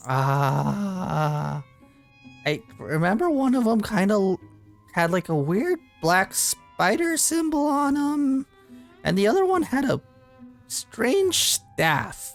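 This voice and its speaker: With faint music in the background, a man performs a shrill, high-pitched put-on character voice at a very slow pace, leaving long, frequent pauses. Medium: actual play.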